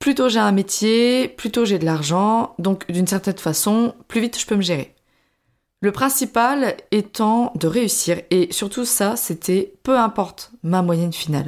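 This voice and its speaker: In a very clean recording with a silent background, a woman with an ordinary speaking voice talks at a medium pitch and fairly slow pace, her intonation lively and her loudness very even. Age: 20s. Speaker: podcaster, former primary school teacher. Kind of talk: personal testimony monologue. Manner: casual, chatty.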